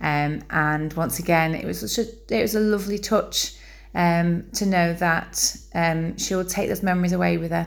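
A fairly slow delivery in a Yorkshire accent. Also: woman. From Bradford, northern England. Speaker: fan. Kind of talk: recorded testimony.

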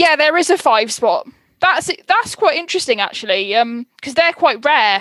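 Bright, sharp tone from a woman with a high pitch, very wide pitch swings, very even loudness and a moderate pace. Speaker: podcast host. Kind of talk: casual chat.

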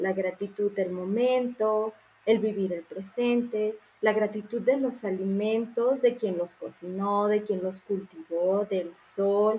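Using a normal speaking voice, a fairly high-pitched woman talks at a fairly slow pace with ordinary pitch variation. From Mexico, Morelia. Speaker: nutritionist. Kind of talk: casual interview.

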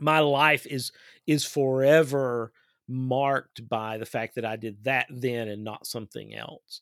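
In a very clean recording with a silent background and a dry, close sound with no echo, a man with an Appalachian accent speaks at a fairly slow pace with fairly even intonation and big swings in loudness. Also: medium pitch for a man. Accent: Appalachian Kentucky. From Eastern Kentucky. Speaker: podcast host. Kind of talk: interview conversation.

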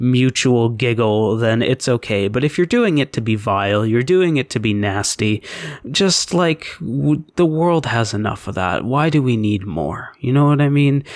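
Intonation is lively as this man speaks at medium pitch and a moderate pace. He has a normal speaking voice. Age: 20s. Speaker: podcast co-host. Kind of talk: casual chat.

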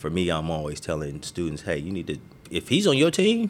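In an American accent, a man talks at a very fast pace with very wide pitch swings, captured in a very clean recording with a silent background. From Marin City, California (San Francisco Bay Area). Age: 40s. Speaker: youth basketball coach and nonprofit founder. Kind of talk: interview.

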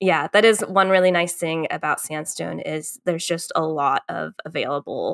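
A woman's plain, everyday voice with an American accent, a fairly low pitch, fairly even intonation and a fairly slow pace, in a very clean recording with a silent background and a dry, close sound with no echo. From Northern Virginia, US. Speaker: climbing coach. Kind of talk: casual interview.

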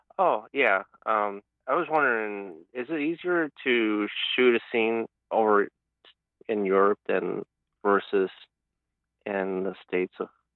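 Pausing long and often, a man with an American accent speaks at a fairly low pitch with lively intonation. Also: fairly slow pace. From US Midwest. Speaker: caller. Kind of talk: casual chat. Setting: phone call. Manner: halting.

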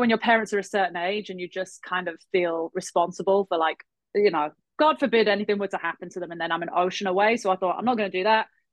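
A woman with a London accent talks at a fairly quick pace at a medium pitch with ordinary pitch variation. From England. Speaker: health coach and spin instructor. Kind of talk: casual chat.

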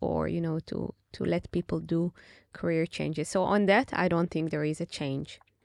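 A woman speaks with an Israeli accent. The sound is dry and close with no echo over a quiet background. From Israel, Tel Aviv. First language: Hebrew. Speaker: venture capital investor. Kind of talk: interview. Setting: studio.

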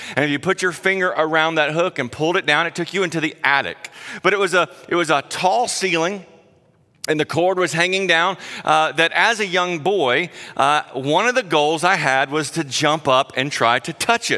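Speaking in a Southern US accent, a man has a high pitch and a bright, sharp tone. He talks at a moderate pace with ordinary pitch variation. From South Carolina. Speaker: guest preacher. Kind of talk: sermon. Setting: church.

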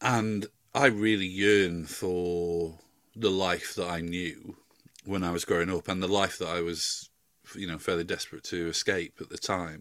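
In a Yorkshire accent, a man with a very deep, low voice speaks at a fairly slow pace and with fairly even intonation on a very clean recording with a silent background. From South Yorkshire, England. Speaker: music journalist and podcaster. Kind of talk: casual chat.

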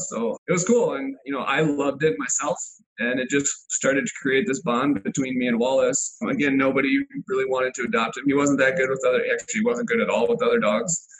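Through noticeable background noise, a man with an American accent rattles along at a very fast pace, his fairly high pitch rising and falling with lively intonation. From Illinois. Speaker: dog advocate and dog sports competitor. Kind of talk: interview.

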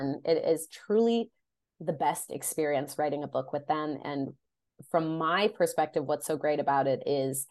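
A woman with an American accent, very deep and low in pitch, with ordinary pitch variation, at a moderate pace over a quiet background. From Chicago area, Illinois (US Midwest). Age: 30s. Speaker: romance novelist. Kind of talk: casual interview chat.

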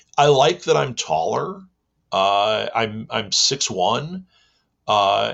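A man's American accent with lively intonation and vocal fry. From US Midwest. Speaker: vox pop interviewee. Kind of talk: casual interview answer.

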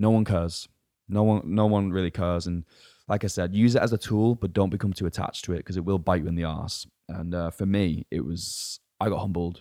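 With a very deep, low pitch and a dark, mellow tone, a man talks at a fairly quick pace with fairly even intonation, the sound dry and close with no echo. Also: very clean recording, silent background. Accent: English. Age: 20s. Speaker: fitness coach. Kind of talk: casual chat.

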